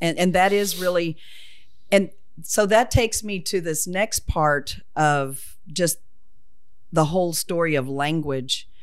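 With a Southern US accent, a woman speaks at a very slow pace and a fairly low pitch, leaving long, frequent pauses. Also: ordinary pitch variation. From US South (Oklahoma). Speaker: retired English teacher. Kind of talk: casual interview about dialect.

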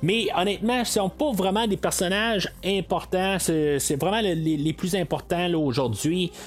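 Over noticeable background noise, a man with a Quebec accent speaks with lively intonation. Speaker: podcast host. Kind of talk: solo film review. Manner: hesitant, many fillers.

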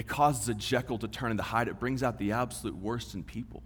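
A medium-pitched man in a Texan accent with vocal fry, ordinary pitch variation, a fairly quick pace and audible room echo. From West Texas. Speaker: divinity student, guest preacher. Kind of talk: sermon.

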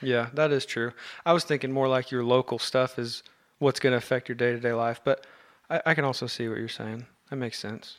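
A normal speaking voice with an American accent at a fairly quick pace, on a very clean recording with a silent background. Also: man, medium pitch for a man. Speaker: podcast host. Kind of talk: casual chat. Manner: excitable.

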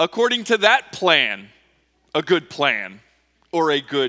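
Speaking very slowly with long, frequent pauses, a man with a fairly high pitch and a bright, sharp tone shows vocal fry and very wide pitch swings. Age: 40s. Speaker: pastor. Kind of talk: sermon. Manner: conversational with many fillers.

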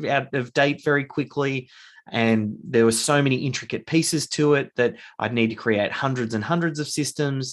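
With an Australian accent, a man speaks at a fairly quick pace over a quiet background. His medium pitch has ordinary variation. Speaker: author and business founder. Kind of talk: casual interview.

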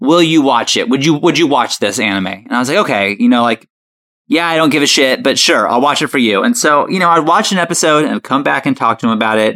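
A man speaks at a very fast pace in a fairly high, bright, sharp voice with vocal fry. His pitch swings very widely. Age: 30s. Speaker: comedy video creator. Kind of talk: casual chat.

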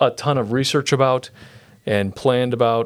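In a very clean recording with a silent background, a man speaks with an ordinary speaking voice. His pace is moderate and his pitch variation ordinary. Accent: American. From Brazil (Sorocaba), US missionary family. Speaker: pastor. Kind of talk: interview testimony. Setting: podcast studio, sharing one mic.

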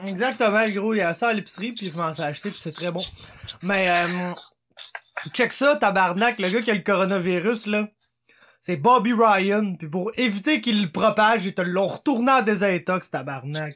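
This man's voice is pitched high. Its pitch moves with ordinary variation. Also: moderate pace. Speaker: sports podcast co-host. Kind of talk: casual chat.

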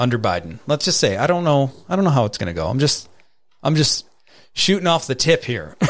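With an American accent and vocal fry, a man talks at a fairly quick pace using very wide pitch swings. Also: medium pitch for a man. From New York. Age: 30s. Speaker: podcast host. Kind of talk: casual chat.

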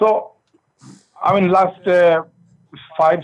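In a high pitch with fairly even intonation, a man speaks. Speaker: rideshare driver. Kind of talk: phone complaint. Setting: phone call.

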